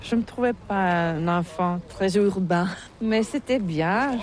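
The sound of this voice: A woman's fairly low, slightly mellow voice at a fairly slow pace, with ordinary pitch variation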